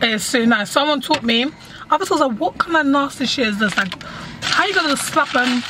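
A woman speaks in a high voice, with noticeable noise behind her. The sound is dry, with no echo. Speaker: vlogger. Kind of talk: casual vlog chat. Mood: playful, joking. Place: car. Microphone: phone near.

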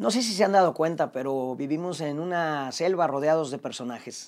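With a Mexican accent, a man talks at a moderate pace. His pitch varies in an ordinary way. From Mexico. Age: 40s. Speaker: actor and comedian; actor, comedian. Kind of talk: personal monologue to camera. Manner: casual. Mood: reflective, confessional, warm. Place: home room. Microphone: lapel.

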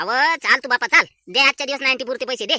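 A woman puts on a character voice, high-pitched and very fast, with ordinary pitch variation. The sound is dry and close, with no echo. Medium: voice reel. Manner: wheedling, jokey.

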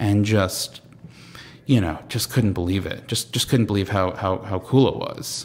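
A man with a Long Island accent and a fairly low pitch. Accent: New York (Long Island) American. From Long Island, New York. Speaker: comedian and TV writer. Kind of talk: casual interview chat. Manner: halting, many fillers and repetitions.

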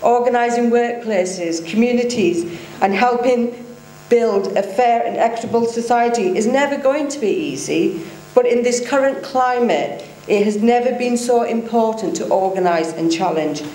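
A woman talks at a moderate pace. There is audible echo from the room. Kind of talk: speech. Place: hall. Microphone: podium.

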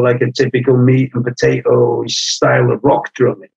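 Spoken in a Welsh accent at a moderate pace, the sound is dry and close with no echo. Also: man. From North Wales, Anglesey. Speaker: punk drummer. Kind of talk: interview conversation.

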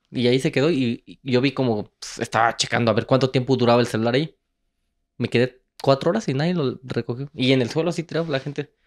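A man talks at a very fast pace with medium pitch and ordinary pitch variation. The background is quiet. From Mexico, Guanajuato (Moroleón); Guanajuato, Mexico. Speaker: travel content creator and entrepreneur; travel content creator. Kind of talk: casual chat. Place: studio. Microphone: handheld.

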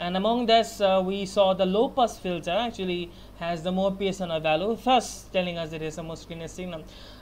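A man with a high-pitched voice talks at a fairly quick pace, with ordinary pitch variation, big swings in loudness and light background noise. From Bangladesh. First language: Bengali. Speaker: university student. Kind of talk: class project presentation; project presentation. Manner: halting, many fillers. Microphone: webcam.

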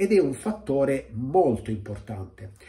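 A dark, mellow, somewhat breathy tone with very wide pitch swings. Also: man. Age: 50s. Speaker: weight-loss coach. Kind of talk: video monologue. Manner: direct. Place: home room. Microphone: phone near.

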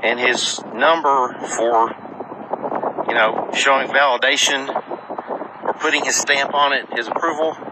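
Over noticeable background noise, a man speaks at a fairly slow pace, the sound dry with no echo. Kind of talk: casual vlog chat. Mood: earnest, reflective. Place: open country. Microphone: phone near.

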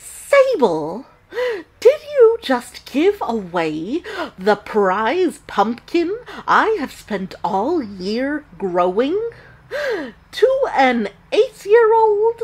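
Very slowly and with long, frequent pauses, a woman speaks in a high pitch. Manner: incredulous, outraged.

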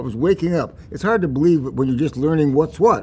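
A man's somewhat breathy voice comes over light background noise. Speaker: interviewee. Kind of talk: interview answer. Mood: warm, reflective, occasional laughs. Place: hall. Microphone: lapel.

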